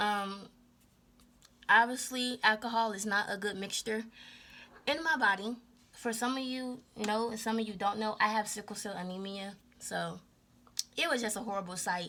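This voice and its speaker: Soft-spoken and fairly high in pitch, a woman with a bright, sharp tone talks with long, frequent pauses. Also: fairly even intonation, moderate pace. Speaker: spiritual tarot reader. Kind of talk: casual chat.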